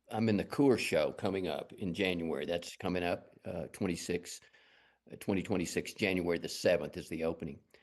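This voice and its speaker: With a strong Texas accent, a man speaks at a fairly quick pace in a very deep, low pitch against a quiet background. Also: ordinary pitch variation. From West Texas, Lubbock. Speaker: fine artist. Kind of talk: interview.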